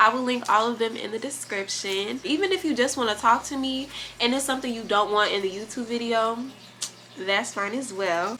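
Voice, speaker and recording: At a fairly quick pace, a woman with a fairly high pitch speaks over noticeable background noise. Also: ordinary pitch variation. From US Midwest, Gary, Indiana. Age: 20s. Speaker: YouTuber, college student. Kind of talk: casual chat.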